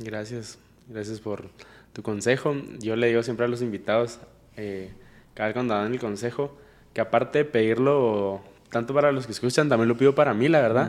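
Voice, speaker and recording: A man at medium pitch, fairly quick pace, and fairly even intonation, broken by long, frequent pauses. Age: 20s. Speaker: podcast host. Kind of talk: casual interview chat.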